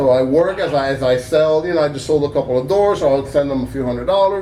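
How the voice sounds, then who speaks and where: A very fast delivery with ordinary pitch variation over noticeable background noise. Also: man, fairly high pitch for a man. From Cuba. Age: 60s. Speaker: small business owner. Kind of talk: call-in interview. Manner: halting, many repetitions; talkative.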